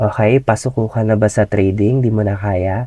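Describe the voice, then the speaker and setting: At a moderate pace, the dark, mellow voice shows ordinary pitch variation, its sound dry and close with no echo. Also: man. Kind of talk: tutorial.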